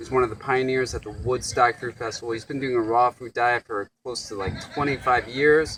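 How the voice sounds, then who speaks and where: A man with a plain, everyday voice talks at medium pitch and a fairly quick pace, with hardly any pauses. His intonation is fairly even, while his loudness swings a lot. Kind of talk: casual interviewer talk.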